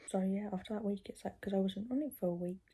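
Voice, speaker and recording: Soft-spoken and somewhat breathy, a woman with a British accent talks at a fairly quick pace in a dark, mellow tone at medium pitch. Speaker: vlogger. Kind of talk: casual chat. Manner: soft-spoken, talking quietly.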